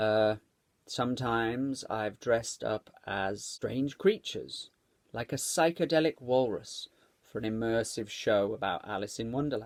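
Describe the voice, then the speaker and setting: This man has a plain, everyday voice. He talks at a fairly slow pace with a medium pitch and ordinary pitch variation. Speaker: performer, maker and storyteller. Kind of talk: craft tutorial for families. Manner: friendly, upbeat.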